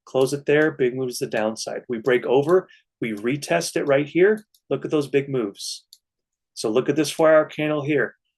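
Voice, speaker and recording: Ordinary pitch variation marks a man's fairly high-pitched voice. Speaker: stock trading educator, livestream host. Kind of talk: live chart analysis and viewer Q&A. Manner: fast; animated.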